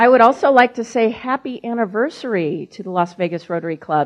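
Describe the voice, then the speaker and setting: A woman with an American accent, lively intonation and a moderate pace. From Missouri, US Midwest. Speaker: business association executive, former broadcaster. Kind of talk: speech to a club lunch audience.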